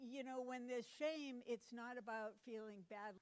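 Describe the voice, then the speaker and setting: A fairly high-pitched woman with an American accent, at a moderate pace. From Massachusetts, Cape Cod. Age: 60s. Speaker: conference speaker. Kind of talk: conference talk.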